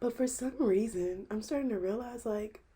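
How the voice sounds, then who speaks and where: Moderate pace from a woman with a dark, mellow, somewhat breathy tone and ordinary pitch variation. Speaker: podcaster. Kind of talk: personal vlog monologue. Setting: bedroom corner. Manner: casual, conversational.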